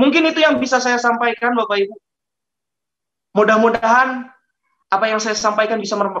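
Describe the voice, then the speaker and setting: A man's raised, projected, high voice with a bright, sharp tone, at a fairly quick pace broken by long, frequent pauses. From Indonesia, West Java (Ciparay). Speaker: network marketing presenter. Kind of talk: business presentation.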